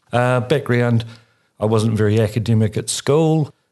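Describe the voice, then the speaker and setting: Over a quiet background, a man with a New Zealand accent speaks at a moderate pace. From New Zealand, Christchurch. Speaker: regional councillor. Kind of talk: interview.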